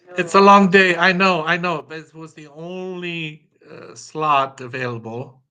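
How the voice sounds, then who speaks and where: Using a high pitch and a bright, sharp tone, a man speaks in a Romanian accent. His pace is fairly slow, with hardly any pauses. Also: ordinary pitch variation, big swings in loudness. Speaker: customer of a sales platform. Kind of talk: business call. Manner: halting, many fillers.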